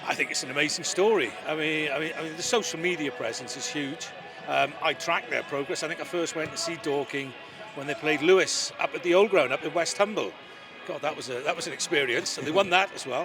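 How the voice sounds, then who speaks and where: A man with a Welsh accent, fairly high-pitched, at a fairly quick pace with ordinary pitch variation and noticeable background noise. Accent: Welsh (Swansea). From Wales, Swansea. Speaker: lawyer and football club adviser. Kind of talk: interview.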